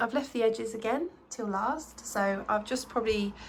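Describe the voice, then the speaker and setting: With an unremarkable speaking voice, a woman talks at a fairly slow pace, using a fairly high pitch and ordinary pitch variation. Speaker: artist vlogger. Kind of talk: casual vlog narration.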